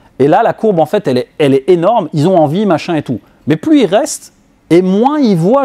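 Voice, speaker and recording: A man speaks at a high pitch, his pitch swinging very widely. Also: dry, close sound with no echo. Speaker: business coach. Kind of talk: talk to an audience.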